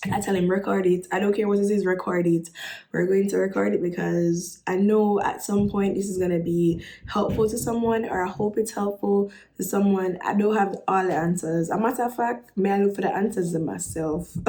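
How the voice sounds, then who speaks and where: A woman with a Jamaican accent talks at a fairly quick pace. Her tone is animated and her pitch sits in the medium range. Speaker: vlogger. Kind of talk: casual vlog talk.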